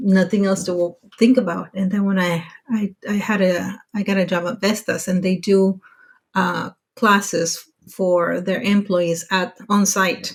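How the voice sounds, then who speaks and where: A woman with an American accent speaks at a fairly slow pace. Her voice is somewhat breathy. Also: medium pitch for a woman, fairly even intonation. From Mexico, US border town. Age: 40s. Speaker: podcast guest, working mother abroad. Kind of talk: casual interview chat. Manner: halting, many restarts.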